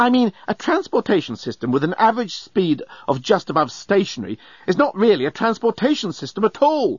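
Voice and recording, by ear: A man's put-on character voice, high-pitched with a slightly husky edge, big pitch swings, a fairly quick pace and few pauses, in a dry, close sound with no echo.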